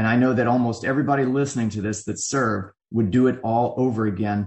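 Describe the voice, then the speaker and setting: A man's somewhat breathy, medium-pitched voice, fairly quick pace and fairly even intonation. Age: 40s. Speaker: army veteran and advocate. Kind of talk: interview.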